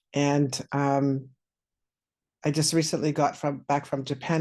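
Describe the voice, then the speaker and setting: A man with a dark, mellow tone and fairly high pitch speaks in a monotone, flat intonation over a quiet background. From Southern Saskatchewan, Canada (First Nation). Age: 60s. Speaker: vlogger. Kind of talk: casual personal vlog. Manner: halting, many fillers and repeats.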